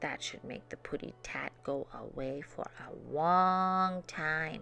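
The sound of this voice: A woman puts on a character voice, pitched low, with a bright, sharp tone and vocal fry. She speaks at a slow pace with ordinary pitch variation.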